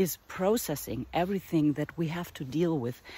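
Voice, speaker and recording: A woman with a German accent speaks in a fairly low, dark, mellow voice that is somewhat breathy. Her intonation is lively. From northern Germany. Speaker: artist and art teacher. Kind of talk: casual vlog monologue. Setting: outdoors in a forest. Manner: halting, with fillers.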